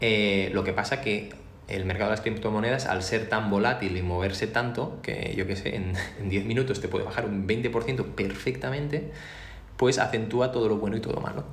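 The man's pitch sits fairly low, with ordinary variation. Room echo and noticeable background noise come through. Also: moderate pace. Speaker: podcast co-host, software engineer. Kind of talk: casual chat.

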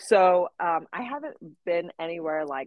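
Here is an ordinary speaking voice: a woman with an American accent, fairly low pitch and ordinary pitch variation. The sound is dry and close, with no echo. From Missouri, US Midwest. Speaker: home daycare owner. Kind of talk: casual interview chat.

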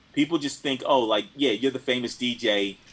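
An unremarkable speaking voice from a man with an American accent, medium pitch and ordinary pitch variation. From Philadelphia. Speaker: DJ and record collector. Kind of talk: casual chat.

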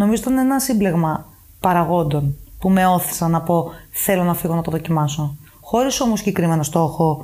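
Using a plain, everyday voice, a woman speaks at a moderate pace and a fairly low pitch with lively intonation. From Greece, Athens and Paros. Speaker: expat office worker. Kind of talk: casual chat.

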